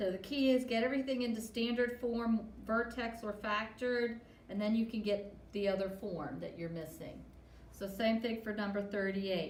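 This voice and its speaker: The speech moves at a moderate pace. Noticeable background noise and audible room echo fill the recording. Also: woman, fairly high pitch for a woman, ordinary pitch variation. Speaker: math teacher. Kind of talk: tutorial. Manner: halting.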